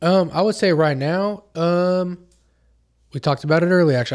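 Speaking at a fairly quick pace with an American accent, a man uses an ordinary speaking voice, fairly high in pitch, with lively intonation. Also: very clean recording, silent background. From Oklahoma. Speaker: podcast host. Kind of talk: casual chat. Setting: guest's home studio.

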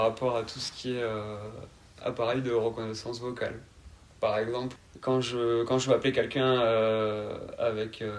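A man at a moderate pace, with noticeable background noise. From southern France, Carcassonne (Aude, Occitanie). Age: 20s. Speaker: podcast guest. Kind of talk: interview. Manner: calm.

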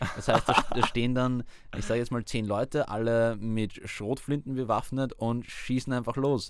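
A man speaks at a moderate pace in a medium pitch with fairly even intonation, in an ordinary speaking voice. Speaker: university student. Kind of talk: interview.

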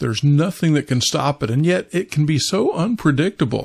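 A man with an American accent, fairly high-pitched and somewhat breathy, with lively intonation at a moderate pace. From Kansas, US Midwest. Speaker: pastor. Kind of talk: devotional talk.

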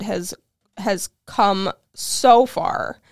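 In a normal speaking voice, a woman talks at a fairly high pitch with ordinary pitch variation, the sound dry and close with no echo on a very clean recording with a silent background. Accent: American. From Ohio, Cleveland. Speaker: community advocate. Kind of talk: interview. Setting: studio.

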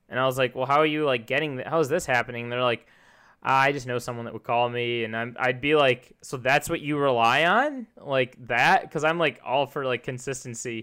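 Bright and sharp in tone, this fairly quick voice with an American accent keeps a fairly even intonation on a very clean recording with a silent background. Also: man, medium pitch for a man. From US Midwest, Chicago area. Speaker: podcast host. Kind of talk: casual chat.

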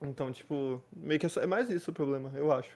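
Pitched fairly high, this man's voice has a dark, mellow tone. His pitch varies an ordinary amount. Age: young. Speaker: podcast co-host. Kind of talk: casual chat.

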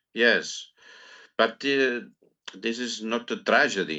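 A man with a Catalan accent speaks at a very slow pace in a medium pitch, his tone bright and sharp and his pitch variation ordinary. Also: long, frequent pauses. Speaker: poet. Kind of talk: interview. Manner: halting.

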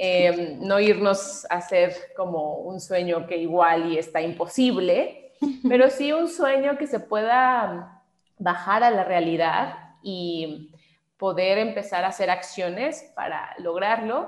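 A woman with a Mexican accent, very slow and with lively intonation. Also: medium pitch for a woman. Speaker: voice actress. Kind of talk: interview.

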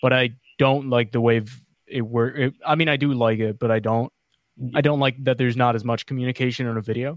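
The pace is very fast. The intonation stays monotone and flat. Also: man, medium pitch for a man. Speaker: YouTuber and streamer. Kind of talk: casual chat.

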